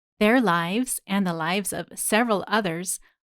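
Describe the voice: The voice gives a plain reading aloud with ordinary pitch variation.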